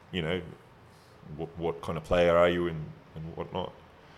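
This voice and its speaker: A man talks in a very deep, low pitch with an Australian accent. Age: 40s. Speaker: retired professional basketball player and trainer. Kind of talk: casual interview chat.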